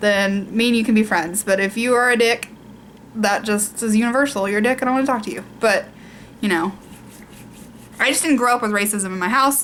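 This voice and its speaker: This woman has a Southern US accent and a fairly high pitch with ordinary variation. She talks at a fairly quick pace but leaves long, frequent pauses. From US South. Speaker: beauty vlogger. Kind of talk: casual chat.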